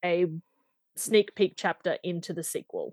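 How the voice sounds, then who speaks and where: The speech moves at a fairly slow pace in an Australian accent. The sound is dry and close with no echo, over a quiet background. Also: woman. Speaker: romance novelist. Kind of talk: interview. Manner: hesitant, many fillers.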